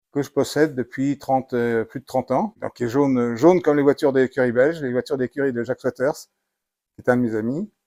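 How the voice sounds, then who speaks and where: At a very fast pace, a man with a dark, mellow, medium-pitched voice speaks with ordinary pitch variation and big swings in loudness, on a very clean recording with a silent background and a dry, close sound with no echo. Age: 60s. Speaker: car collector. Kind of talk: casual interview. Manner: hesitant.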